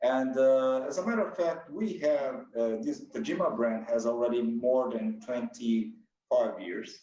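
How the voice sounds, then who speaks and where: A man with a Brazilian accent speaks at a medium pitch in a dark, mellow tone, with ordinary pitch variation and a fairly slow pace. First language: Portuguese. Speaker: company president. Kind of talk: interview. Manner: halting.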